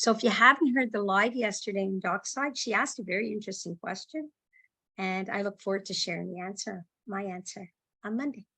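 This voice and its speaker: A woman speaks at a fairly quick pace with a bright, sharp tone. Her pitch is medium, with ordinary variation. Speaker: book club host. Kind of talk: casual chat. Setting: livestream. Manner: fast.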